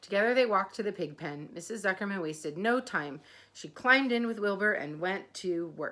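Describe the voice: This plain reading aloud carries lively intonation.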